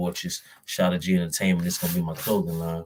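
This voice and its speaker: Delivered at a fairly quick pace, the speech carries an American accent and fairly even intonation. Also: man. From Miami, Florida. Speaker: vlogger and music artist. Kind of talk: casual monologue vlog. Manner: stuttering, halting.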